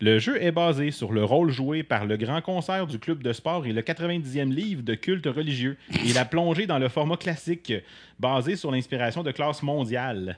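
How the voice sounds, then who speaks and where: A man with a plain, everyday voice speaks at a fairly slow pace, fairly high in pitch and with lively intonation. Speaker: podcast co-host. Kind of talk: casual chat. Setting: studio.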